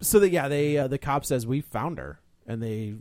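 A man's medium-pitched voice with lively intonation and a dark, mellow tone, at a moderate pace, in a very clean recording with a silent background. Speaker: podcast co-host. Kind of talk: casual banter about movies. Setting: studio.

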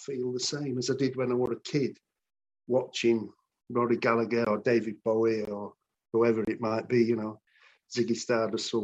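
Speaking at a moderate pace, a man holds a medium pitch in a monotone, flat intonation. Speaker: rock musician. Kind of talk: interview.

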